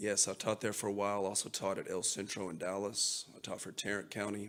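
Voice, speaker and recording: A man with a Texan accent talks at a fairly quick pace. His fairly low voice is monotone, with flat intonation. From West Texas. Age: 40s. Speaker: artist and teacher. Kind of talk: casual interview.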